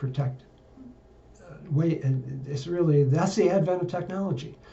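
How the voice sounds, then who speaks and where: Room echo is audible. The voice belongs to a man. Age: 70s. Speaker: political and science commentator. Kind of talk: monologue. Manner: halting.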